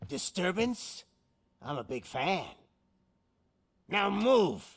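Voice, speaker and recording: A man's raspy, high-pitched, put-on character voice with very wide pitch swings at a very slow pace. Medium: video game. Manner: taunting, showman-like.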